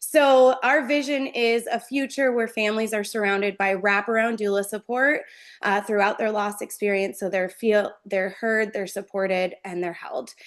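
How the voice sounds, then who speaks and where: Against a quiet background, a woman talks at a moderate pace with hardly any pauses, her animated tone fairly high in pitch with ordinary pitch variation. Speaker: doula organization founder leading a focus group. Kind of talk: presentation in a focus group discussion.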